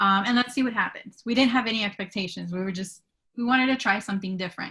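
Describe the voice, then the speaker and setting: Very fast speech from a woman at a medium pitch, bright and sharp in tone, with ordinary pitch variation. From immigrant to the US. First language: not English. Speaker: teacher. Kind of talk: webinar talk.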